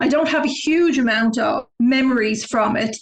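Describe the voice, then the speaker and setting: A woman with a Dublin accent. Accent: Irish (Dublin). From Ireland, Dublin; early childhood in southern Africa. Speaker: travel website founder. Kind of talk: interview.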